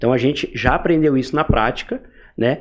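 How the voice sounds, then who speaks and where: A man's fairly high-pitched voice. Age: 20s. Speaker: entrepreneur, growth hacking specialist. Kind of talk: casual interview.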